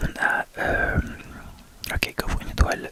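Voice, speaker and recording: Whispering over noticeable background noise. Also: man. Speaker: ASMR gaming youtuber. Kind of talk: game commentary voice-over. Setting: recorded on bed with a microphone. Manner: casual, spoken rather than whispered.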